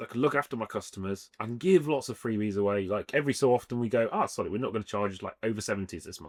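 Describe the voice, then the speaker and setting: With an English Midlands accent, a man at medium pitch races along at a very fast pace with hardly any pauses, ordinary pitch variation and big swings in loudness. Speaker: street food trader. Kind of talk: casual interview chat.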